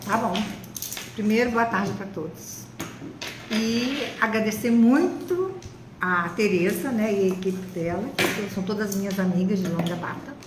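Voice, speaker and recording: Speech comes at a fairly slow pace with long, frequent pauses and ordinary pitch variation, with audible room echo and noticeable background noise. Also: woman, medium pitch for a woman. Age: 70s. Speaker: retired biologist, breast cancer survivor. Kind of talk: testimony in live interview. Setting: online live stream.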